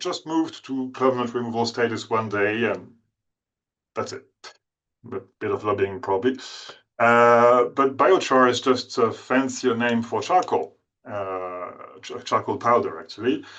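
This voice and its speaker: A man's medium-pitched voice with ordinary pitch variation, big swings in loudness, and long, frequent pauses. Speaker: climate policy expert. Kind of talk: webinar presentation. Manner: fast.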